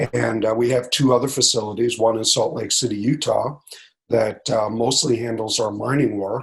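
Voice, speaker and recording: A man with an American accent speaks at medium pitch with fairly even intonation. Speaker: company CEO. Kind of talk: interview. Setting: video call while traveling.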